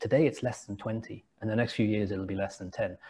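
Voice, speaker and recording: A man's somewhat breathy voice with a dark, mellow tone and an English accent. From England, Liverpool area. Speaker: entrepreneur and company founder. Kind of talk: interview conversation. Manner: repetitive, hesitant restarts.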